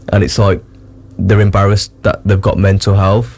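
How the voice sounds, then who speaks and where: There is noticeable background noise. The man's voice sits very deep and low. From Wolverhampton, England. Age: 20s. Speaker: DJ. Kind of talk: casual chat.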